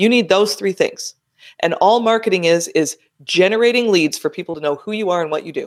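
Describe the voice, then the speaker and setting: A woman speaks at a medium pitch in an animated, energetic tone with ordinary pitch variation. Her pace is fairly quick. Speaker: money and business strategist. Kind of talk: interview.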